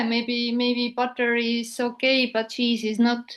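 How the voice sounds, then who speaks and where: A woman speaks at a very slow pace. Her voice sits high in pitch. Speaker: interviewer. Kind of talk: casual interview talk.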